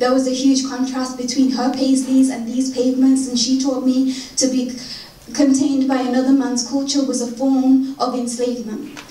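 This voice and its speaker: A woman's high-pitched, monotone voice with flat intonation, at a moderate pace over noticeable background noise. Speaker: spoken word poet. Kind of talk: poetry reading.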